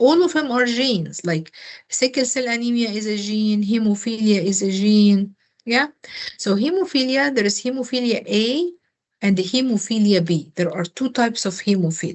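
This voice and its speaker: Somewhat breathy speech at a moderate pace, with lively intonation. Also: woman. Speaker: nursing tutor. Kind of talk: tutoring review session.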